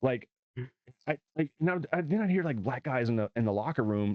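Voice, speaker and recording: A man with a slight Southern US accent speaks at a very even loudness. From US South, southeast Arkansas. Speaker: stand-up comedian. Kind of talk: casual chat.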